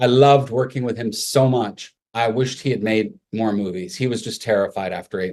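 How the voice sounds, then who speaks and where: The speaker has an ordinary speaking voice, a fairly quick pace and ordinary pitch variation. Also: man, medium pitch for a man. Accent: Canadian. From Canada, Montreal. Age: 60s. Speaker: makeup artist. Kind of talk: interview.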